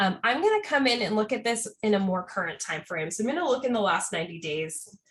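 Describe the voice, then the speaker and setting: Over noticeable background noise, a woman with a fairly high pitch speaks at a very fast pace with very wide pitch swings. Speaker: software trainer. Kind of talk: tutorial. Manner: casual.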